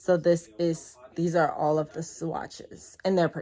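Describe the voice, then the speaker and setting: Here a woman is speaking. Her pitch sits fairly low. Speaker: beauty vlogger. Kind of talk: makeup tutorial and product review. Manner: fast; casual, chatty.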